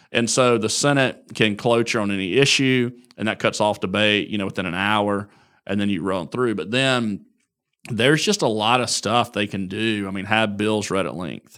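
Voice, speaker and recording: A man with an Alabama accent talks at a moderate pace in a fairly low voice with ordinary pitch variation. The recording is very clean, the background silent. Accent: Southern US (Alabama). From US South, northern Alabama (Marshall County). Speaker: politician. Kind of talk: interview.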